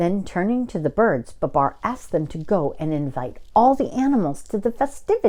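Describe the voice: The clip is plain reading aloud.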